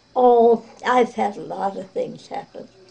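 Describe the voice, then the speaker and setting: Noticeable background noise surrounds a woman who speaks very slowly at a fairly high pitch with ordinary pitch variation. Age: 80s+. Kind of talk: interview answer.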